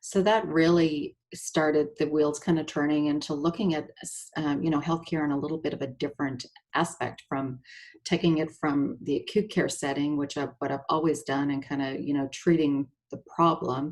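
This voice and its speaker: A woman with a slight Canadian accent speaks at a moderate pace. Her pitch is very deep and low, and her intonation stays fairly even. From Canada. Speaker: nurse and essential oil seller. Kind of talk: presentation. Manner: halting, many fillers.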